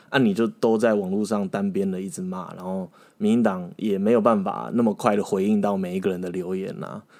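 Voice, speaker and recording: Delivered at a fairly quick pace with fairly even intonation, this is a normal speaking voice. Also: man. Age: 30s. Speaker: former legislative aide. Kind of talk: casual interview chat.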